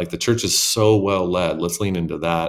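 In a very clean recording with a silent background, a man with a very deep, low voice and a Southwestern US accent speaks at a moderate pace with fairly even intonation. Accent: American (Southwest). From small-town Arizona. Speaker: megachurch senior pastor. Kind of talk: interview conversation.

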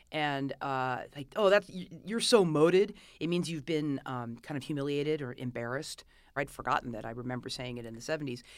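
Lively intonation and big swings in loudness in a Californian accent, on a very clean recording with a silent background. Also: woman. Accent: Californian American. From Los Angeles, California. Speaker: author. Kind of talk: interview. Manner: halting.

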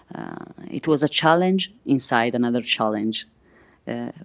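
Speaking at a fairly slow pace, a woman with an Italian accent has a very deep, low pitch. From Italy, Milan. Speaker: sound artist and composer. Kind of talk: interview. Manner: halting, many fillers.

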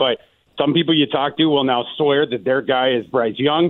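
His voice unremarkable, a man speaks at a fairly quick pace and a fairly high pitch with ordinary pitch variation. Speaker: NFL draft analyst. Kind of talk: interview.

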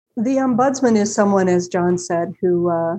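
Using an American accent, a woman speaks at medium pitch and a fairly slow pace, her tone dark and mellow with ordinary pitch variation. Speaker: company president. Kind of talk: interview.

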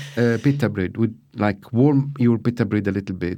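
With an Arabic accent, a man talks at medium pitch in a dark, mellow tone with ordinary pitch variation against a quiet background. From Syria. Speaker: chef and restaurateur. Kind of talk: interview. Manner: halting.

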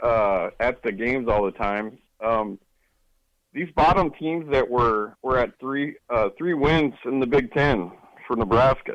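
Speaking at a fairly slow pace with an American accent, a man keeps a medium pitch and ordinary pitch variation. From US, Oregon. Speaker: radio caller, sports fan. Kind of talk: call-in question. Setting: phone call. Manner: halting.

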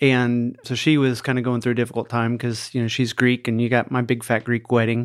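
On a very clean recording with a silent background, a man talks at a fairly quick pace with hardly any pauses and monotone, flat intonation. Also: medium pitch for a man. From US Midwest, small-town Iowa. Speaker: mental health facility owner. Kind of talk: casual interview.

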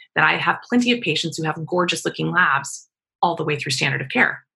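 In an American accent, the speaker's bright, sharp tone carries vocal fry. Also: woman. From Kansas, US. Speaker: integrative cancer doctor. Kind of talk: interview.

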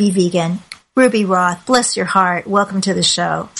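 A woman speaks at a medium pitch. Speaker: podcast host. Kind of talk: interview. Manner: warm, chatty.

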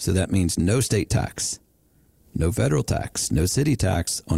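In a very clean recording with a silent background, a man speaks with a very deep, low pitch, his dark, mellow tone somewhat breathy. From West Virginia. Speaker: financial advisor, show host. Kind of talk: casual chat.

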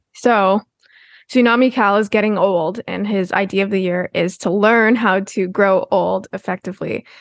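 In an ordinary speaking voice, a woman talks at a moderate pace with medium pitch and fairly even intonation, the sound dry and close with no echo over a quiet background. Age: 20s. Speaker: podcast co-host. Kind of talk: casual chat.

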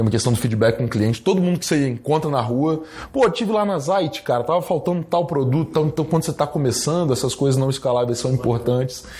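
A man talks at a fairly quick pace with lively intonation. His tone is dark and mellow, and somewhat breathy. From Brazil, Espírito Santo (Guarapari). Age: young. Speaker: retail entrepreneur. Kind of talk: interview. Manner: casual, filler-heavy.

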